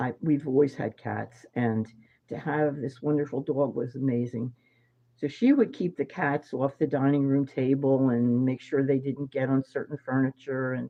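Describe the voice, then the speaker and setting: With a Philadelphia accent, the speaker talks in a monotone, flat intonation. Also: woman. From Philadelphia, US. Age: 70s. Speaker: psychic medium. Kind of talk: casual monologue. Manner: hesitant, many fillers.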